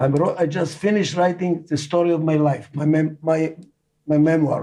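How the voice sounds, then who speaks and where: His pace is fairly slow. The man has a non-native accent. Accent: foreign accent in every language. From Israel. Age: 80s+. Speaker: management consultant and author. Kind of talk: interview.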